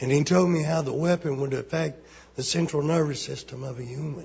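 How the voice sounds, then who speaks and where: A man talks with an Alabama accent. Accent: Southern US (Alabama). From Alabama, US South. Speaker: member of the public giving testimony. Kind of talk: public testimony. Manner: halting.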